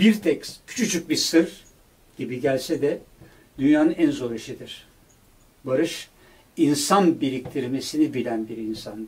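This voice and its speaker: Somewhat breathy, the voice has lively intonation, big swings in loudness and long, frequent pauses. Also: man, fairly high pitch for a man. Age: 70s. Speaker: producer and director, longtime friend of a late musician; interviewee. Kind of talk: interview conversation. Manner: halting with filler sounds. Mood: reflective, heartfelt remembrance. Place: studio.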